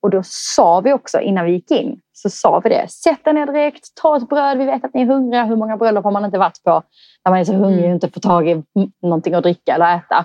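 A woman at a medium pitch speaks at a very fast pace, her pitch swinging very widely. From southern Sweden (Skåne, Eslöv). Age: 30s. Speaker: wedding coordinator. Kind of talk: casual interview chat.

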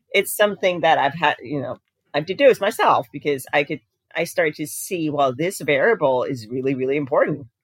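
Lively intonation and a fairly quick pace mark this American accent, recorded with a dry, close sound and no echo. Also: woman, very deep, low pitch for a woman. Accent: sounds American. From Denmark. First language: Danish. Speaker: diabetes coach and personal trainer. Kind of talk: casual interview chat.

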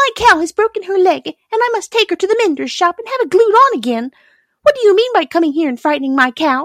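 In a dry, close recording with no echo, a woman does a put-on character voice at an extremely high pitch, fast and fairly bright, with big pitch swings.

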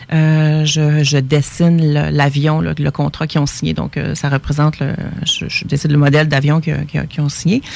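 A woman with a Quebec accent talks at a moderate pace, in a very deep, low pitch. Her intonation is monotone and flat, with noticeable background noise behind her. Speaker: painter. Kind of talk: casual radio interview. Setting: radio studio.

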